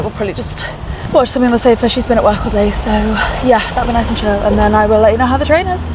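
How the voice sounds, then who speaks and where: A woman's very fast speech amid noticeable background noise and audible room echo. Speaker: travel vlogger. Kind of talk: casual vlog. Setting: on a sleeper train. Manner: very soft whisper.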